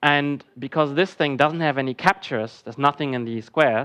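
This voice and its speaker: The voice moves at a fairly quick pace with ordinary pitch variation against a quiet background. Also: man. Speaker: conference speaker. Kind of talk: lecture. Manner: fast.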